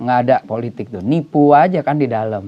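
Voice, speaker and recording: A man's animated tone over noticeable background noise. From Batak, North Sumatra (Indonesia). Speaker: pastor. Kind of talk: casual interview chat.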